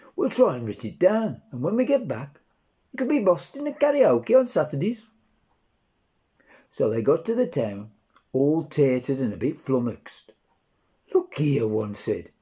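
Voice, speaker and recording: The tone is dark and mellow, with very wide pitch swings. Delivery is at a moderate pace, broken by long, frequent pauses. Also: man, fairly high pitch for a man. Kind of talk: dialect nativity story reading.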